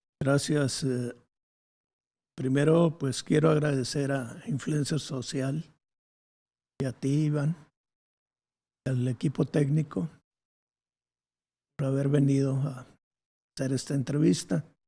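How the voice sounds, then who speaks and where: A man's dark, mellow, somewhat breathy voice at a fairly high pitch moves at a very slow pace with fairly even intonation and long, frequent pauses. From Monterrey, Mexico. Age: 70s. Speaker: former guerrilla leader, architect. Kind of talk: interview. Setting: his home.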